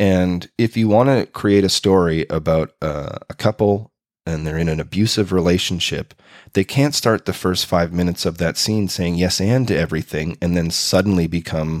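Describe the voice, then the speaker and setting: Dry and close with no echo, a man's very deep, low voice carries a Canadian accent, ordinary pitch variation and a moderate pace. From Canada, Winnipeg, Manitoba. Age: 40s. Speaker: improv performer and teacher. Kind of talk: casual interview.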